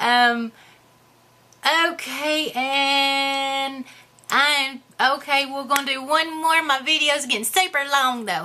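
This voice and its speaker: In a put-on character voice, a woman speaks high-pitched at a fairly slow pace with long, frequent pauses. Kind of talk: character comedy Q&A to camera.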